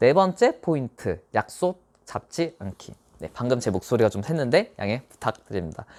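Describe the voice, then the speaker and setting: A man talks at a moderate pace with a medium pitch. The recording is very clean with a silent background, the sound dry and close with no echo. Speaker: tax accountant giving exam advice. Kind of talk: monologue tutorial. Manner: speeds up toward the end.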